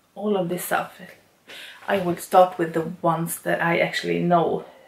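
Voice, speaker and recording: Light background noise and audible room echo around a woman speaking. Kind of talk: casual vlog chat. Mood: excited. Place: home room.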